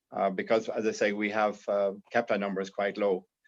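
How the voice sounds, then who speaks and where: A man's fairly low voice with an Irish accent, at a moderate pace, over a quiet background. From Ireland. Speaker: insurance broker and panelist. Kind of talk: panel discussion. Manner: halting, many fillers.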